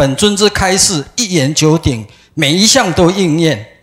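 Against a quiet background, a man talks at a very slow pace. His high voice has lively intonation. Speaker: religious follower. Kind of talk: prepared speech. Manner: formal. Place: hall.

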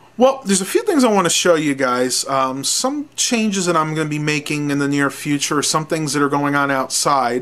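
A man talks with ordinary pitch variation and hardly any pauses. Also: moderate pace. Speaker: vlogger. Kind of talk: casual vlog chat. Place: home room. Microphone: webcam.

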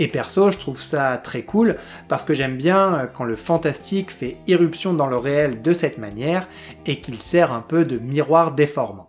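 Faint music sits behind the speaker. A man delivers his words fairly slowly. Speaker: video reviewer. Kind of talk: commentary.

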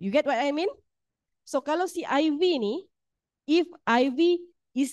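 A woman's high-pitched voice at a very slow pace. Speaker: university lecturer running a statistics workshop. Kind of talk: workshop lecture. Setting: classroom with hybrid online audience.

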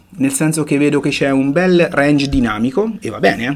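Lively intonation carries a man's speech at a fairly slow pace. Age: 40s. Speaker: photography teacher. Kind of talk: online lecture. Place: home room.

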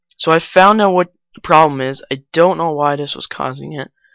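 A woman's very deep, low voice with ordinary pitch variation, in a dry, close sound with no echo and a quiet background. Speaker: YouTube tutorial maker. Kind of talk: tutorial.

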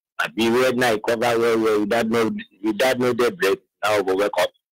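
A man speaks with a Nigerian accent at a medium pitch and a fairly quick pace. The sound is dry and close, with no echo. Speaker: caller. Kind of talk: call-in comment.

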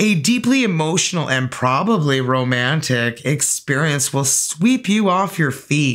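Her intonation lively, a woman speaks at a low pitch. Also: fairly slow pace.

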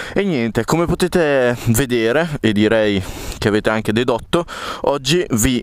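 Here a man speaks at a moderate pace. The sound is dry, without echo. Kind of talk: casual vlog chat. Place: garden. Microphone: camera far.

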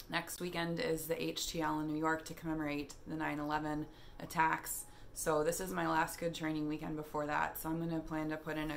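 A woman talks with a very deep, low pitch and monotone, flat intonation. Her pace is moderate, with light background noise. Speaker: fitness vlogger. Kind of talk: casual vlog chat. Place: home room. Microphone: phone near.

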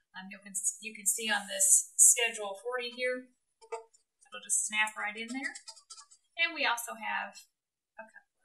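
The speech moves at a moderate pace with ordinary pitch variation. Music plays in the background. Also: woman. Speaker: woodworking video co-host. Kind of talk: tutorial. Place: workshop.

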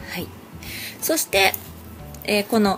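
A woman with a Hiroshima accent speaks with very wide pitch swings. Music plays in the background. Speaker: craft shop owner. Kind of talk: craft tutorial narration. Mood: friendly, cheerful. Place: shop. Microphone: phone near.

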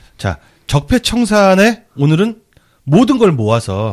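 A man's animated voice with very wide pitch swings. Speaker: podcast host. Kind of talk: political talk show discussion.

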